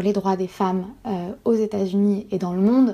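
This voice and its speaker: A woman's voice over noticeable background noise. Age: 20s. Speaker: PhD student and feminist newsletter founder. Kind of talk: personal testimony interview. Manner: halting with frequent fillers.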